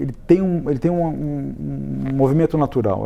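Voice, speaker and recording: His pitch runs fairly high. The man's tone is dark and mellow. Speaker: real estate consultancy executive. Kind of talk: studio interview. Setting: TV studio. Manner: fast.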